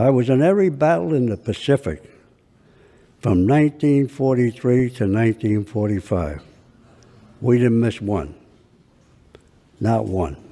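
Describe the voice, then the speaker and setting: Over a quiet background, a voice with an American accent and a dark, mellow tone moves at a fairly slow pace with long, frequent pauses and lively intonation. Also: man. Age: 80s+. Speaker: war veteran. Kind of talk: courtroom testimony.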